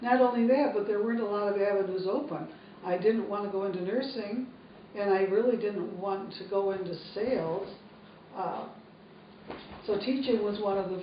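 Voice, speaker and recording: Noticeable background noise and audible room echo surround a woman's medium-pitched voice. She keeps a moderate pace with ordinary pitch variation. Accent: American. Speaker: retired teacher. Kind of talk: family interview.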